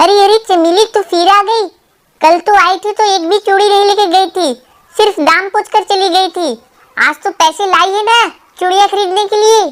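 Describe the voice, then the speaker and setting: Using a cartoonish character voice, a woman speaks at a fairly quick pace in an extremely high, squeaky pitch with fairly even intonation. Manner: brisk, street-seller.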